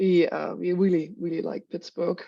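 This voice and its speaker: Against a quiet background, a woman speaks at a fairly quick pace with a German accent. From Germany, Berlin. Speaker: cancer research professor. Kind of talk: scientific presentation.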